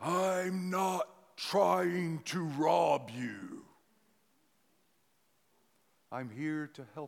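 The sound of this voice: A man puts on a booming character voice with a fairly high pitch. He goes at a very slow pace, with long, frequent pauses.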